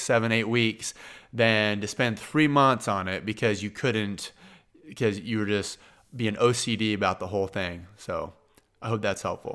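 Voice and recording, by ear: A fairly bright, clear, smooth tone at a fairly slow pace, with a Midwestern American accent, in a very clean recording with a silent background. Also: man.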